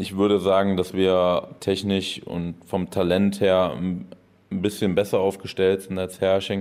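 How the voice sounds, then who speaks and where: A man speaks very slowly in a very deep, low voice, his intonation flat and monotone. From Düren area, western Germany. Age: 30s. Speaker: professional volleyball player. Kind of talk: interview.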